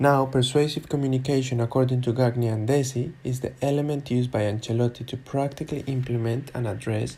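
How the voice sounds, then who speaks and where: A man with a dark, mellow, somewhat breathy tone speaks at a medium pitch and moderate pace in a flat monotone. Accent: non-native. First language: not English. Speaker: student and football coach. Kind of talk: academic presentation.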